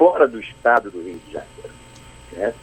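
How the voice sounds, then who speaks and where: Noticeable background noise under a man's moderately paced speech. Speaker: state football federation president. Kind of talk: radio interview answer by phone. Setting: phone line.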